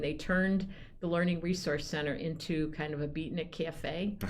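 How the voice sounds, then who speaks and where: In a room with audible echo, a woman speaks at a moderate pace in a very deep, low voice. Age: 70s. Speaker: poet laureate. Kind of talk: casual chat. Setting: studio.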